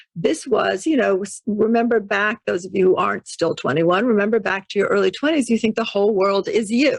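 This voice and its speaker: A woman with an American accent and a normal speaking voice talks at a fairly quick pace with hardly any pauses, her pitch fairly high, on a dry, close recording with no echo. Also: lively intonation. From New York City. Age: 60s. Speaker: intuition teacher and author. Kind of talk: podcast interview.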